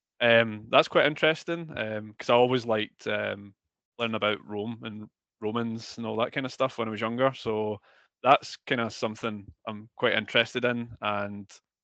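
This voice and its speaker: Against a quiet background, a man with a Scottish accent talks at a moderate pace in a medium pitch, with a bright, sharp tone and fairly even intonation. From Scotland. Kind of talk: interview. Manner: hesitant, many fillers.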